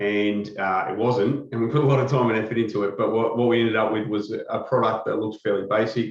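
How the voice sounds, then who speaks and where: A man with an Australian accent at a very fast pace, medium pitch, fairly even intonation and hardly any pauses. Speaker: company executive presenting a product. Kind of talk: webinar product presentation. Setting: webcast.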